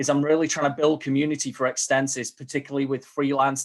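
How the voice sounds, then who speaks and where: With a strong Manchester accent, a man speaks at a fairly high pitch. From northern England, Manchester. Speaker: community program manager at a software company. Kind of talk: webinar presentation.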